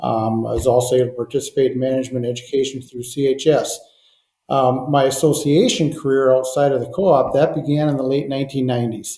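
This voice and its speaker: A man's very fast, somewhat breathy speech in a Minnesotan accent, medium in pitch, dark and mellow in tone, with fairly even intonation. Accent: Minnesota. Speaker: propane trade association director. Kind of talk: podcast interview. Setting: call.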